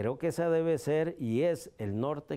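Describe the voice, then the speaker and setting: The intonation is lively. The tone is dark and mellow. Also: man. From Costa Rica. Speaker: judge. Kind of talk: interview. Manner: formal. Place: office. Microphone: lapel.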